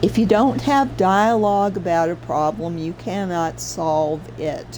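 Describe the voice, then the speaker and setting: A woman's fairly low pitch and lively intonation at a fairly slow pace, with noticeable background noise. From US South. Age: 60s. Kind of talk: casual livestream commentary. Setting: livestream. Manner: animated.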